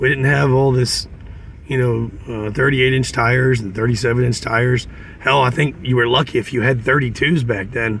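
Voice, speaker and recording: In a plain, everyday voice, a man of medium pitch talks at a fairly quick pace with fairly even intonation. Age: 40s. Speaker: off-road driving vlogger. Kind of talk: casual trail narration. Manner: relaxed, conversational with fillers.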